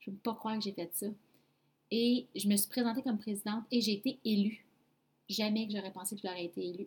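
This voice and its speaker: A woman talks somewhat breathily in a Quebec accent at a fairly quick pace, with long, frequent pauses. Her pitch is fairly high and her intonation fairly even. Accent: Québécois French. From Quebec, Abitibi-Témiscamingue. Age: 20s. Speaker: podcast host, MLM entrepreneur. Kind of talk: personal testimony.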